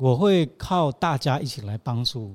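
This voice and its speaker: A man's voice sounds somewhat breathy. The recording is very clean, with a silent background. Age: 50s. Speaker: choreographer. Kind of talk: casual interview.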